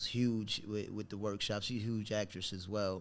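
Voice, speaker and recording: On a very clean recording with a silent background, a man with a New York accent talks at a moderate pace in a fairly low pitch with monotone, flat intonation. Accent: New York accent, noticeable. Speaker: actor. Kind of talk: casual interview chat. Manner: halting, many fillers and restarts.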